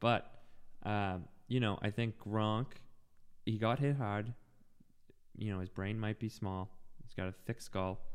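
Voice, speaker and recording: A man's fairly low voice at a fairly slow pace, fairly even in intonation, with long, frequent pauses. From Boston (West Roxbury). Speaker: podcast co-host. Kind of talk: casual chat.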